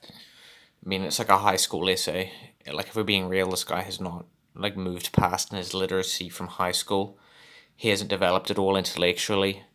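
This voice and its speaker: At a fairly quick pace, a man with a very deep, low pitch speaks in a monotone, flat intonation. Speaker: YouTube commentator. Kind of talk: casual commentary to camera.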